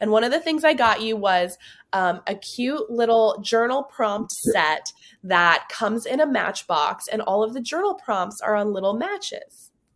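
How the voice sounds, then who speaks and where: On a very clean recording with a silent background, a woman with an unremarkable speaking voice and a fairly high pitch talks at a moderate pace, her intonation lively. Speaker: podcast host. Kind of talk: casual chat.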